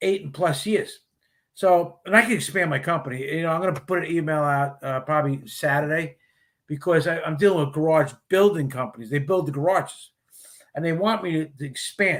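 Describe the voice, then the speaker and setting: An unremarkable speaking voice belongs to a man with an American accent who talks at a fairly quick pace with a fairly high pitch and ordinary pitch variation, on a very clean recording with a silent background. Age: 60s. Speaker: retired police officer and garage cleaning business owner. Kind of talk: casual chat. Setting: live stream show.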